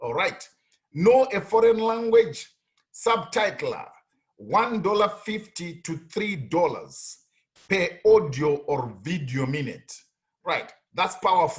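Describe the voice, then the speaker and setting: Speaking very slowly with long, frequent pauses, a man uses a high pitch and lively intonation. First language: not English. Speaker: online money-making tutorial youtuber. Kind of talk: screen-share tutorial. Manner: repetitive, stammering fillers.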